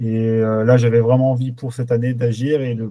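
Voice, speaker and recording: A dark, mellow tone at a moderate pace, with monotone, flat intonation. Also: man. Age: 20s. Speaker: truck driver, coaching client. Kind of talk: testimonial interview. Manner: halting, many hesitations.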